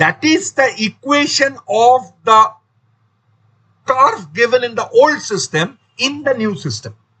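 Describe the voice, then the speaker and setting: A man's raised, projected voice, extremely high in pitch and bright and sharp in tone, at a very slow pace with long, frequent pauses and very wide pitch swings. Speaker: maths teacher. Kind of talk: lecture.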